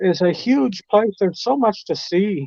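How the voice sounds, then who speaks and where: A man speaks at a fairly slow pace with a high pitch and a dark, mellow tone. The sound is dry and close with no echo. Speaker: live stream guest. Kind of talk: casual chat.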